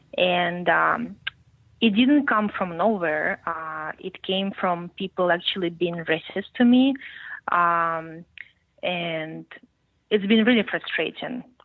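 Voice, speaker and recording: A woman with a fairly low voice and a Russian accent speaks at a very slow pace with long, frequent pauses and ordinary pitch variation. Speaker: podcast guest, journalism student. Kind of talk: interview conversation.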